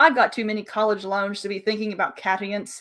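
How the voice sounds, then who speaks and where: Very fast and at a medium pitch, a woman performs a put-on character voice in a very clean recording with a silent background. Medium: read story. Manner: flippant, carefree.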